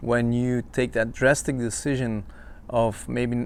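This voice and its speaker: With a non-native accent, a man talks at a fairly slow pace. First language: not English. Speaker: podcaster, self-help coach. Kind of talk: casual monologue. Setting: outdoor-ish home location, not a studio. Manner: hesitant, many fillers.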